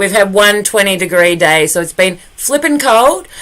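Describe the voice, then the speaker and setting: A woman with an Australian accent speaks at a moderate pace and medium pitch. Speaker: performance artist and poet. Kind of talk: casual live stream chat. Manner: warm, friendly.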